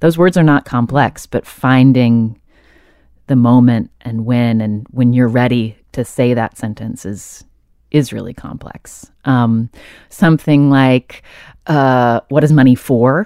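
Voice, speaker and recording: In an American accent, a woman with a very deep, low pitch and a dark, mellow tone speaks at a very slow pace with ordinary pitch variation, the sound dry and close with no echo. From US South. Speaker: podcast host and author. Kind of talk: interview.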